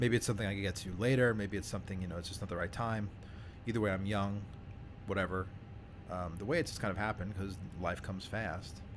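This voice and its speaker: A man's fairly low, somewhat breathy voice at a very fast pace, fairly even in intonation, broken by long, frequent pauses. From New York City (Staten Island). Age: 30s. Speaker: flight sim YouTuber. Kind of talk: casual chat. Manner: casual, hesitant with fillers.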